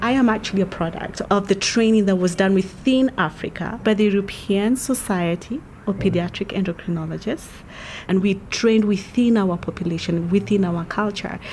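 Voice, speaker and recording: With a Kenyan accent, a woman speaks at a moderate pace with very even loudness and ordinary pitch variation, over light background noise. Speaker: doctor. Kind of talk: interview. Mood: calm, informative. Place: street. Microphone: handheld.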